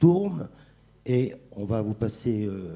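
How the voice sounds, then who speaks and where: A man speaks at a fairly low pitch, somewhat breathy. His tone is dark and mellow. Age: 60s. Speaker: chef. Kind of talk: panel talk. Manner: halting.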